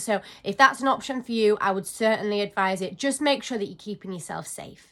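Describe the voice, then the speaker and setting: With a British accent, a woman talks at a very fast pace in a fairly high voice with ordinary pitch variation. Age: 20s. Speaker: vlogger. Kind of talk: casual talk to camera.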